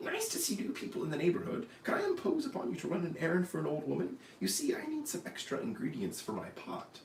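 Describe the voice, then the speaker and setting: A man puts on a raspy character voice, pitched high, at a very fast pace. Background noise is clearly audible. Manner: inviting.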